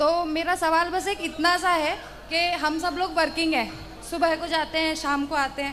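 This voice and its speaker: Music plays in the background, and there is audible room echo. The delivery is monotone and flat. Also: woman, extremely high pitch for a woman, moderate pace. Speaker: audience member asking a question. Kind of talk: question to a spiritual teacher.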